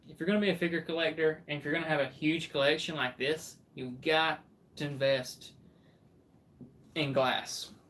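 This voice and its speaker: The speaker has a Southern accent. The pace is moderate. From Alabama. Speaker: livestreamer, anime figure collector and artist. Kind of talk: casual livestream chat.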